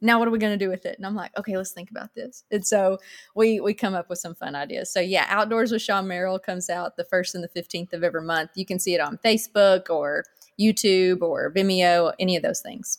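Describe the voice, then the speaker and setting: A woman with an Arkansas accent at a very fast pace, in a dry, close sound with no echo. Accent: Southern US (Arkansas). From Arkansas, US South. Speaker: former TV reporter, church volunteer. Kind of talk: interview, personal testimony.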